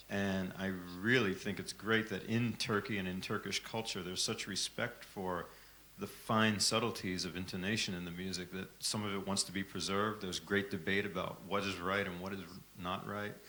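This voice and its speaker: With an American accent, a man speaks in a fairly low, flat monotone, his tone bright and sharp against audible room echo. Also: moderate pace. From United States. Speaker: microtonal music software developer. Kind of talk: conference remarks. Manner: halting.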